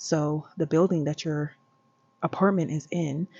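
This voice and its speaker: The woman's voice sits very deep and low. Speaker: vlogger. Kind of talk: casual vlog monologue. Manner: talking low.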